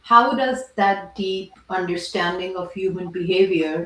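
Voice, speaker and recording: Here a woman speaks at a medium pitch. She talks fairly slowly. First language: not English. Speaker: podcast host, product leader and investor. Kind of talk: podcast interview.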